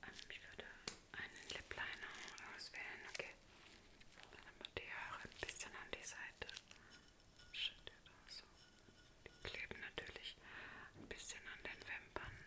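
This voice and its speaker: A soft-spoken woman is whispering. She leaves long, frequent pauses. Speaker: makeup role-play host. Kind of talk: soft-spoken makeup role-play. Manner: soft ASMR whisper, close to the camera. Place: home room. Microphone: phone near.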